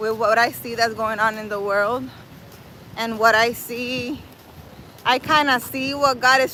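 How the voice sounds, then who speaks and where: A woman's high voice at a fairly slow pace, in a non-native accent, over noticeable background noise. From New York City. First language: not English. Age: 40s. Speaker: spiritual livestreamer. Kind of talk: casual livestream chat. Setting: outdoors. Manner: animated.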